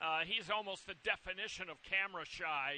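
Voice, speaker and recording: This voice is raised and projected, with a bright, sharp tone. It moves at a moderate pace. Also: man. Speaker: horse racing handicapper. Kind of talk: race preview analysis. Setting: outdoors at racetrack in rain. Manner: loud, near shouting.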